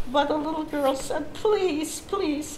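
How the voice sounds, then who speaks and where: A woman's high-pitched voice amid noticeable background noise. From Lithuania. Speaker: Holocaust survivor. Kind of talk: personal testimony talk.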